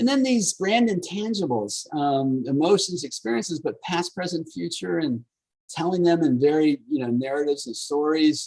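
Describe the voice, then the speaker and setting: A man speaks with lively intonation at a fairly high pitch. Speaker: marketing professor. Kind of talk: lecture. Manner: fast; animated.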